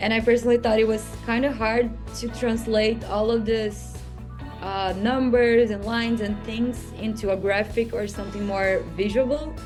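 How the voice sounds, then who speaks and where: Over music in the background, a woman speaks at a fairly high pitch in a monotone, flat intonation. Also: moderate pace. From Brazil. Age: 20s. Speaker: master's student and partnerships manager. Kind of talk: interview answer.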